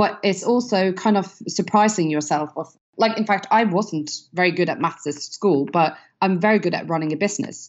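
A woman speaks in a Norwegian accent at medium pitch. Her pace is moderate and her pitch variation ordinary. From Norway. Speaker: business founder and CEO. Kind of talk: casual interview chat.

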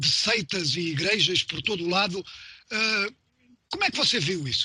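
Raised and projected, a man's high-pitched voice carries lively intonation. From Mozambique. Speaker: radio host. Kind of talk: radio interview; news reading.

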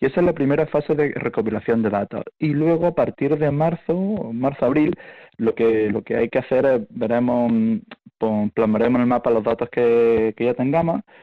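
A man's medium-pitched voice at a moderate pace, with ordinary pitch variation and very even loudness. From eastern Andalusia, Spain (El Ejido, Almería). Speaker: university linguistics professor. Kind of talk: radio interview.

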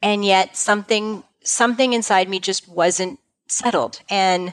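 A woman speaks in an ordinary speaking voice at a medium pitch, with ordinary pitch variation and a fairly slow pace. The recording is very clean, with a silent background. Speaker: practice management consultant for financial advisors. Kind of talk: interview.

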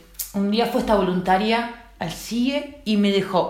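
Noticeable background noise and audible room echo accompany this woman as she talks. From Uruguay. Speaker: trafficking survivor. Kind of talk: testimony. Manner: halting.

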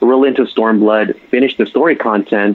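At a fairly quick pace, a man talks in a normal speaking voice with a medium pitch and fairly even intonation. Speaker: caller, gamer. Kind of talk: casual chat. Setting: online voice call.

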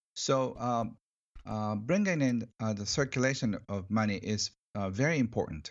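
The speaker has a Japanese accent and ordinary pitch variation. The pace is moderate. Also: man, medium pitch for a man. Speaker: author on money. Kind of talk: interview. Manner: halting, many fillers; cheerful, excited.

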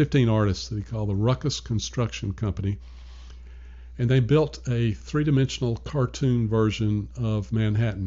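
Speaking at a moderate pace, a man with an American accent has a fairly low, somewhat breathy voice with very wide pitch swings. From US South, Nashville, Tennessee. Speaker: retired arts fundraiser. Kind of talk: casual interview.

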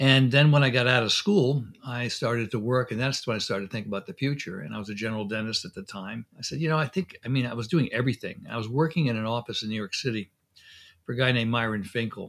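Over a very clean recording with a silent background, a man with an American accent speaks at a very fast pace in a medium pitch with ordinary pitch variation. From Connecticut, US. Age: 70s. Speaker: dentist and periodontist. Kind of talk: interview conversation, storytelling.

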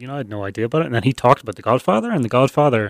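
A Northern Irish accent with ordinary pitch variation, in a very clean recording with a silent background. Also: man. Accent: Northern Irish (Belfast). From Northern Ireland, Belfast. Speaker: guest sharing life story. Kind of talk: interview. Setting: studio.

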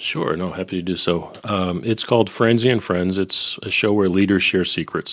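At a moderate speed and with fairly even intonation, an unremarkable speaking voice talks in an American accent. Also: man, fairly low pitch for a man. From Boston. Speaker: recording engineer and podcaster. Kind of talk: casual chat.

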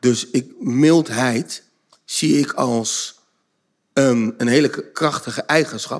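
The man's pitch is medium, with ordinary variation. He talks at a very slow pace. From Netherlands, Zoetermeer (South Holland). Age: 50s. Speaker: behaviour trainer and author. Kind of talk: casual chat. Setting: stage with audience.

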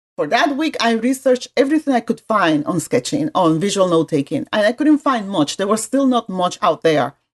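A woman with very wide pitch swings at a moderate pace. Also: hardly any pauses, dry, close sound with no echo. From Puerto Rico. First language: Spanish. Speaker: graphic design professor. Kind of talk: casual interview.

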